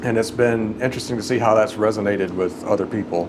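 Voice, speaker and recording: With a slight Mississippi accent, a man talks at a fairly quick pace in a fairly low pitch, amid noticeable background noise and audible room echo. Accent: slight Mississippi Southern. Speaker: composer and organist, YouTuber. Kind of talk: casual chat. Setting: church.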